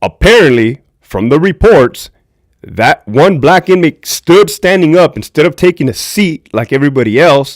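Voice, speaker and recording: With an American accent, a man speaks at a moderate pace and lively intonation. The recording is very clean with a silent background. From Southern California. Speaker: former prison guard and livestream host. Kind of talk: livestream commentary. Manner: loud; casual, conversational.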